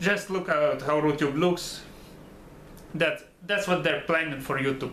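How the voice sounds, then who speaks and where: With a Russian accent, a man speaks at a moderate pace in a fairly high pitch. His pitch varies in an ordinary way, and the room echo is audible. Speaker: YouTuber commentator. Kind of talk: casual monologue commentary. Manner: halting, repeats words; stutters occasionally.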